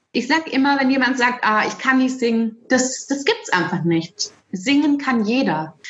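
This woman's intonation is lively, and she keeps to a fairly slow pace. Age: 40s. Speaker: music educator. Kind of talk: interview.

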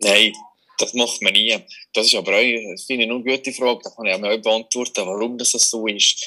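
A man with a bright, sharp tone and medium pitch talks at a moderate pace in a monotone, flat delivery. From Switzerland, Valais. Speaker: magician. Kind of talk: casual interview. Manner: halting, many fillers.

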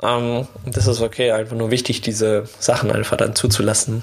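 A man holds fairly even intonation at a medium pitch, with noticeable background noise behind him. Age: 20s. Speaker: podcast host, former bullying victim. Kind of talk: personal storytelling monologue. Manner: casual, many fillers.

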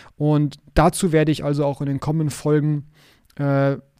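The man's voice has a fairly high pitch and a dark, mellow tone. The recording is very clean with a silent background. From Hamburg, northern Germany. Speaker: podcast host, IT consultant. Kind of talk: solo podcast monologue.

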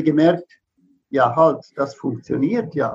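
A high-pitched man's voice. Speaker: veterinarian and animal homeopath. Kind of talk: interview. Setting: live video stream.

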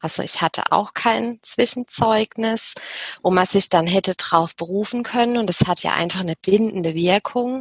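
In a dry, close sound with no echo, a woman with an ordinary speaking voice talks at a moderate pace, medium in pitch and with ordinary pitch variation. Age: 30s. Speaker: business psychologist and HR consultant. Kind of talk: interview.

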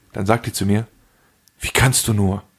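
A man's somewhat breathy, animated voice at a moderate pace. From Germany. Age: 40s. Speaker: podcast co-host. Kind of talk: casual chat.

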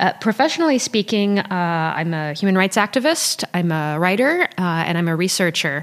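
With an American accent, a woman speaks at a medium pitch in a plain, everyday voice, leaving hardly any pauses. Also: lively intonation, moderate pace. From Paris, France, then US from high school. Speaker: human rights researcher. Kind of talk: interview. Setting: in person, Berlin.

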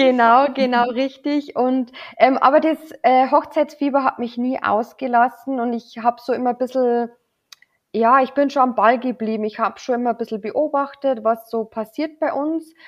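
A high-pitched woman speaks in a Bavarian accent. She keeps a moderate pace and fairly even intonation. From Lower Bavaria, Germany. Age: 30s. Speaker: wedding officiant. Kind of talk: casual chat.

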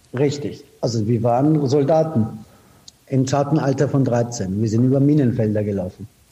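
This man talks at a moderate pace with very even loudness and a medium pitch. His pitch varies in an ordinary way, and noticeable background noise is present. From Iran, raised in Austria from age 15. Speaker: advertising executive. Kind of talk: interview. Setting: remote call. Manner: direct.

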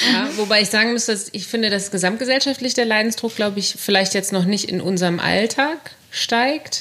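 Noticeable background noise is heard as a woman speaks. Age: 30s. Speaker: radio journalist. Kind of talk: casual chat.

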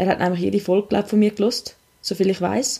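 A woman's very fast delivery, dark and mellow in tone, with vocal fry and fairly even intonation. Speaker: podcast host. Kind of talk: casual chat.

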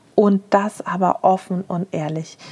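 Heard over noticeable background noise, a woman speaks at a medium pitch. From Germany, Frankfurt. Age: 30s. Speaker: podcast host and business owner. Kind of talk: solo podcast monologue.

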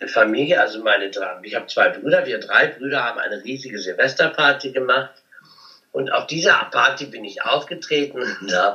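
His loudness swings widely as he speaks. Noticeable background noise runs behind the man's voice. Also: moderate pace. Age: 50s. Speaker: cabaret artist and comedian. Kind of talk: interview.

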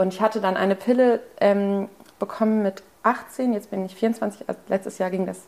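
A woman has an ordinary speaking voice at a medium pitch. She speaks at a moderate pace with fairly even intonation. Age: 20s. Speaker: student. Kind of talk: personal interview.

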